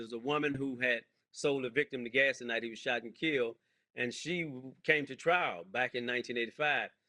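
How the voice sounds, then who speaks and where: An unremarkable speaking voice from a man at medium pitch, fairly quick, with ordinary pitch variation. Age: 60s. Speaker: pastor and exoneree. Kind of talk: interview.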